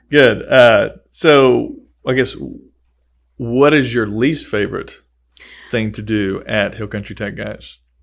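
A man with an American accent speaks very slowly, leaving long, frequent pauses. His loudness swings widely. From Texas, Gulf Coast. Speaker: podcast host. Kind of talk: casual chat.

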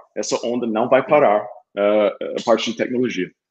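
This man speaks with an English accent and ordinary pitch variation. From Oklahoma, US (Tulsa). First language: English (speaking Portuguese). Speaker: sales enablement consultant. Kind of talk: interview. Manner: halting, with filler and repeated words.

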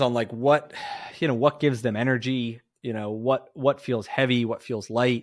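At a fairly quick pace, a man speaks in an unremarkable speaking voice of medium pitch. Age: 30s. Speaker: automotive repair franchise owner. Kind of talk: interview. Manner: casual, filler-heavy.

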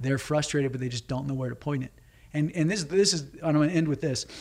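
Fairly even intonation from a man with an ordinary speaking voice and a fairly high pitch. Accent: American. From California. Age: 30s. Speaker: filmmaker. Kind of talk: interview.

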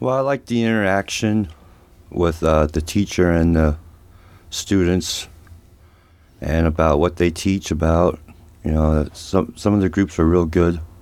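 With an American accent, a man speaks at a fairly slow pace in a very deep, low pitch, with ordinary pitch variation and long, frequent pauses. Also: very even loudness. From Reading, Pennsylvania (near Philadelphia). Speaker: residential recovery program resident. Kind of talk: interview testimony. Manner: halting, with many fillers.

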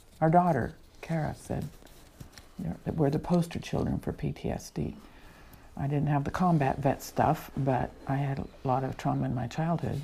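This woman's voice sits at a very deep, low pitch with a dark, mellow tone. Vocal fry runs through it. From Los Angeles, born in Argentina. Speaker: guest, craftsman's wife and business partner. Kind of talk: casual interview.

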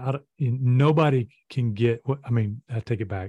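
At a moderate pace, a man with a medium pitch and a dark, mellow, somewhat breathy tone speaks with ordinary pitch variation, in a dry, close sound with no echo and a very clean recording over a silent background. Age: 50s. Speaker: software company CEO. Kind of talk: casual interview.

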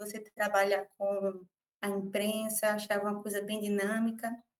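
At a fairly slow pace, a woman speaks in a monotone, flat intonation at medium pitch. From Brazil, Recife. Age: 20s. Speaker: medical student, former lawyer. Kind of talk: interview storytelling.

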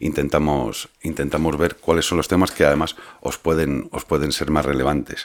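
Here a man speaks at a very deep, low pitch. Vocal fry runs through his voice. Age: 40s. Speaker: podcast host. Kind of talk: casual religious podcast chat. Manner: halting, repeats words.

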